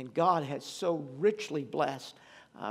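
The speaker is a man with a plain, everyday voice. His voice sits fairly high, with normal rises and falls. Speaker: pastor. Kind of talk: sermon. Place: church. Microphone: podium.

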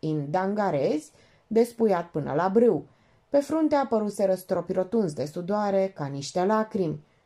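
Natural reading voice

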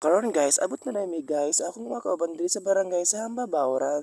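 The voice has a dark, mellow tone and lively intonation, with dry sound, no echo and a quiet background. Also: man. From Philippines. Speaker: vlogger. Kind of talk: vlog narration. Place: hall. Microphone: phone near.

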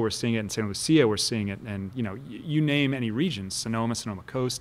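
An American-accented man talks at a very fast pace. His pitch is medium, with ordinary variation. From Kansas City. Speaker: winemaker; guest. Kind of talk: casual chat. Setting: winery. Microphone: studio mic.

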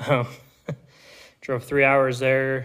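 The background stays quiet while a man talks. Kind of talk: casual vlog chat. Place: workshop. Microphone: phone near.

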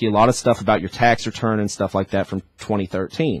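A man with an American accent talks at a fairly quick pace in a fairly low pitch, with ordinary pitch variation, a quiet background and a dry sound with no echo. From Ohio. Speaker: financial aid outreach coordinator; guest. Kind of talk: radio interview. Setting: radio studio. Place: studio. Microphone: studio mic.

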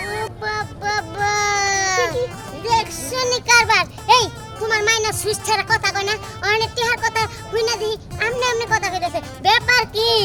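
A put-on character voice pitched extremely high speaks at a moderate pace. Loud music plays in the background. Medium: voice reel. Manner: chatty, wheedling.

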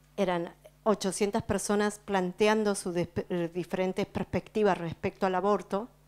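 At a very slow pace, a woman speaks at a medium pitch in a monotone, flat delivery. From Patagonia, Argentina; Argentina. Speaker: speaker. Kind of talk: speech to audience, interpreted. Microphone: handheld.

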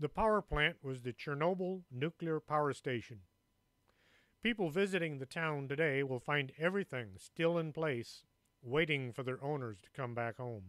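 In a very clean recording with a silent background and a dry, close sound with no echo, a man with a plain, everyday voice and fairly high pitch speaks at a moderate pace with lively intonation. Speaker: radio show host and author. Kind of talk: ghost story telling, spooky narration of Mothman sightings in a hushed, foreboding tone. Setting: radio studio.

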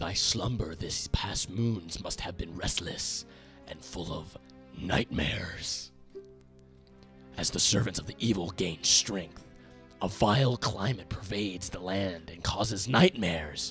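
In a put-on character voice, someone speaks at a fairly slow pace while clear music plays in the background. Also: man, very deep, low pitch for a man. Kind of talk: archaic, formal. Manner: solemn, wise.

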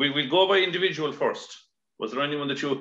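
Talking at a very fast pace with an Irish accent, a man with a fairly high pitch is heard with audible room echo over a quiet background. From Ireland. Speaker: podcast host. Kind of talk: casual interview. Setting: video call. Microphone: video call.

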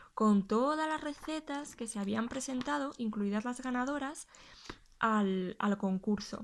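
A woman speaks at a moderate pace in a fairly high pitch. Her pitch varies in an ordinary way. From Spain, Huesca (Aragon); Aragon, Spain. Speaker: YouTuber and gluten-free food blogger; YouTuber, gluten-free food blogger. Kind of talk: casual video tutorial, show-and-tell. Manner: hesitant, with frequent repetitions. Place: home room.

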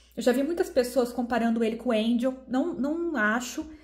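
The woman's voice sits high in pitch and carries an animated tone. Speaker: beauty YouTuber. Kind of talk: product review.

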